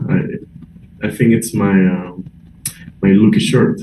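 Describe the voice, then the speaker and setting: Against noticeable background noise, a man speaks with a Spanish accent. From Peru. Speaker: chess player. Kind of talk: interview. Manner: halting.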